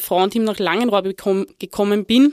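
On a very clean recording with a silent background, a woman speaks fairly slowly at a medium pitch with ordinary pitch variation. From Lower Austria. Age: 30s. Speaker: former football player and women's football director. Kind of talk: interview. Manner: halting, many fillers.

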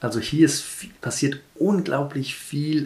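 A man with a fairly high pitch, speaking at a very slow pace. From Kenya (Nairobi). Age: 40s. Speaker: interviewee. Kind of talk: interview.

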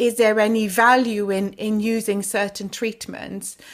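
Heard in a very clean recording with a silent background, the voice moves at a moderate pace in a monotone, flat intonation. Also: woman. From Flanders, Belgium. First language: Dutch. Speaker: pediatric hepatologist. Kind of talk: interview. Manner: halting.

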